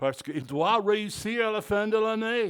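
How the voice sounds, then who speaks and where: With an English accent and lively intonation, the speaker goes at a fairly slow pace in a very clean recording with a silent background. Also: man. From Texas. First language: English (speaking French). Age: 60s. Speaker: pastor. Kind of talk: sermon. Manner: halting, repeats words.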